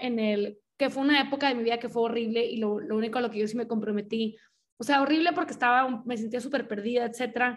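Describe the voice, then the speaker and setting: Her voice high in pitch, a woman speaks at a fairly quick pace with ordinary pitch variation. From Mexico, Monterrey. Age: 20s. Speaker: podcast host, writer and illustrator. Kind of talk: casual chat.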